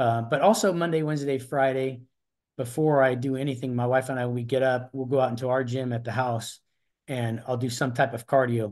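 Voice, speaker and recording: A man speaks in an unremarkable speaking voice at medium pitch. His intonation stays fairly even, and the background is quiet. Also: fairly quick pace. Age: 60s. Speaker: masters athlete, retired corrections officer. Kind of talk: interview answer.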